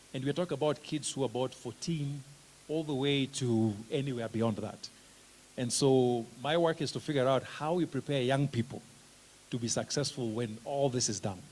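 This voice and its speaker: Man with a Kenyan accent, at a medium pitch with ordinary pitch variation and a moderate pace. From Kenya, Kisumu. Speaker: special education researcher and teacher trainer. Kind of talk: conference presentation. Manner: casual, conversational.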